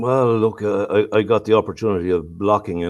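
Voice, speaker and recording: A man speaks with an Irish accent at a fairly low pitch with ordinary pitch variation. The background is quiet. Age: 60s. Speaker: local councillor. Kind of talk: casual chat. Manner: halting.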